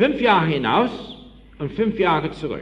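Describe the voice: With audible room echo, a man speaks slowly and his pitch swings widely. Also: fairly bright tone.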